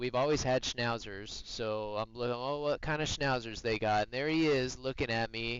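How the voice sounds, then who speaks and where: At a medium pitch with ordinary pitch variation, a man talks in a plain, everyday voice. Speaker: streamer, military veteran. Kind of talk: live gameplay stream chat. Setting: live stream. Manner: casual, conversational.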